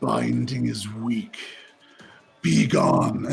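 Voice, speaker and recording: Growling, a man puts on a character voice. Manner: sneering, dismissive.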